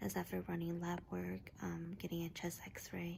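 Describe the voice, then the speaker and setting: Soft-spoken, the woman talks at a fairly slow pace. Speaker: vlogger. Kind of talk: casual vlog. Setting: hospital room. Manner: halting.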